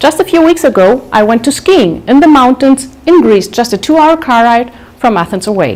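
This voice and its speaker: A woman with a German accent, high-pitched and lively in intonation, at a moderate pace over noticeable background noise. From Germany, Munich. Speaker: public speaker. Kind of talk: talk to live audience.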